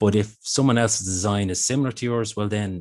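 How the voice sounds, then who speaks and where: A man's pitch varies in an ordinary way, with a quiet background behind him. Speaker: intellectual property office presenter. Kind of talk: business seminar presentation. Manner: fast.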